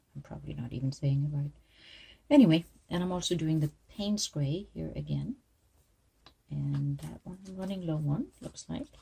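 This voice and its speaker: A woman with a non-native accent speaks at a moderate pace with big swings in loudness. She leaves long, frequent pauses. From outside the United States. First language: not English. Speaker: art teacher. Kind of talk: tutorial. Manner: casual.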